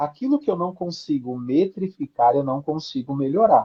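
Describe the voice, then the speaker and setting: Somewhat breathy, a man with a fairly high pitch talks at a moderate pace with ordinary pitch variation. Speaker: branding and positioning specialist. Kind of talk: live stream interview.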